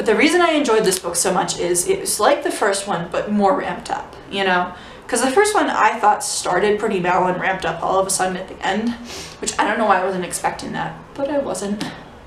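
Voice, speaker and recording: A woman's medium-pitched voice with lively intonation at a fairly quick pace, with audible room echo and noticeable background noise. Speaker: book vlogger. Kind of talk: casual book review vlog. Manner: fast.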